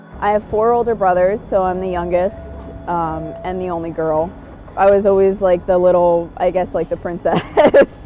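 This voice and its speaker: A woman with a New York accent and fairly even intonation, with music in the background. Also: medium pitch for a woman, moderate pace. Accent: New York American. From New York State (Kingston). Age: 30s. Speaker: Korean adoptee interviewee. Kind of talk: documentary interview.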